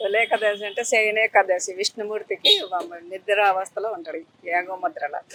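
With lively intonation, a woman talks over noticeable background noise, the sound dry and close with no echo. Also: medium pitch for a woman. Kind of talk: interview answer.

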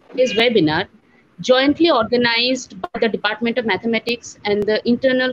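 A woman talks at a fairly quick pace while noticeable background noise runs underneath. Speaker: teacher welcoming webinar audience. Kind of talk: formal welcome address. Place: home room. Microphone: earbuds.

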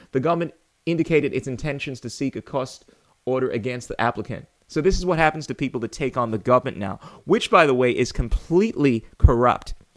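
A man at a very fast pace, animated in tone, with lively intonation. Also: quiet background. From Ghana, West Africa. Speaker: political commentary YouTuber. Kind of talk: monologue commentary. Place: home room. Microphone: studio mic.

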